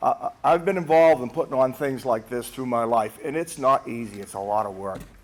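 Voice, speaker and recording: With a Boston accent, a man talks at a fairly quick pace with lively intonation against noticeable background noise. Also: medium pitch for a man. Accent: Boston-area. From New England. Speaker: hall of fame inductee. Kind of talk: acceptance speech. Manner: fast.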